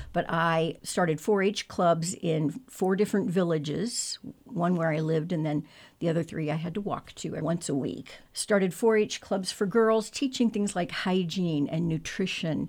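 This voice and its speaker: A woman talks at a moderate pace in a Midwestern American accent, with ordinary pitch variation. The recording is very clean, with a silent background. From central Illinois, near Springfield. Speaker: community volunteer. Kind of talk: radio interview.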